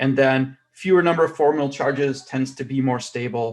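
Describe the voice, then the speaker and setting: A man with a normal speaking voice and fairly even intonation. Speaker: chemistry professor. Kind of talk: lecture.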